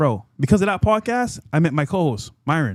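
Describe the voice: The voice moves at a fairly quick pace with big pitch swings, in a dry, close sound with no echo. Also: man, fairly high pitch for a man.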